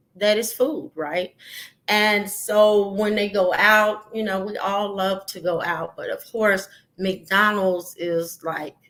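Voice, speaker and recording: Speaking at a very slow pace, a woman has a medium pitch and fairly even intonation. She talks with a slight Southern US accent. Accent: slight rural Southern. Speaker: podcast host. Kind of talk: solo podcast talk. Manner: hesitant, many fillers.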